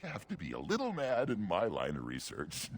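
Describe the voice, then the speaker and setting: A man does a put-on character voice at a fairly quick pace with light background noise behind him. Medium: video game. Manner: gleeful, chuckling.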